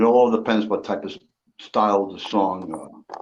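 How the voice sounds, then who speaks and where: In an ordinary speaking voice, a man talks at a moderate pace, fairly low in pitch, with fairly even intonation. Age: 60s. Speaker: livestream guest, retired bass player. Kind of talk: casual chat.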